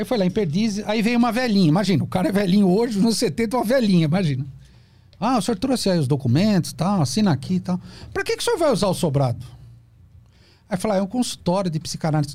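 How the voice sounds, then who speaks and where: A man with a high pitch and lively intonation, very fast in pace, his loudness very even. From Brazil, São Paulo (ABC region). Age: 50s. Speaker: psychoanalyst. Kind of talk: podcast interview, explanatory talk. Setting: studio.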